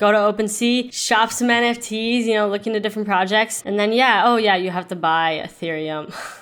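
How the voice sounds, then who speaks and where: A plain, everyday voice from a woman, fairly high in pitch, fairly quick, with fairly even intonation and hardly any pauses. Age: 20s. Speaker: NFT collector and social media marketer. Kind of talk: casual interview.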